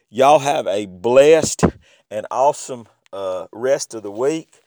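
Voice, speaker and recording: A fairly slow, fairly high-pitched man with an American accent and ordinary pitch variation. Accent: Southern US, stronger than usual. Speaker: podcast host. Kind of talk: podcast outro. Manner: casual, halting with fillers.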